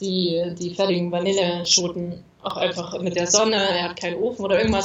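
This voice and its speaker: Talking at a fairly quick pace, a woman with a medium pitch is heard with audible room echo. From Thuringia, eastern Germany. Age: 30s. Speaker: emigrant, blogger. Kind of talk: casual interview.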